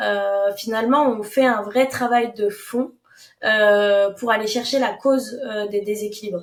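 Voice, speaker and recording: Here a woman speaks at a very slow pace. Her pitch is fairly high and her intonation fairly even. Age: 20s. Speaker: naturopath. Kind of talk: podcast interview. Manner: hesitant, many fillers.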